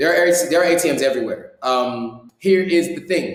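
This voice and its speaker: An unremarkable speaking voice with an American accent. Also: man. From US. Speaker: YouTuber and vlogger. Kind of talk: live stream Q&A. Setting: live stream. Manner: casual, with many fillers.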